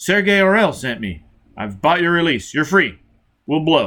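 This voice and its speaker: A man speaks in a put-on character voice at a high pitch and a moderate pace. The recording is very clean, with a silent background. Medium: read story. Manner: curt, hard.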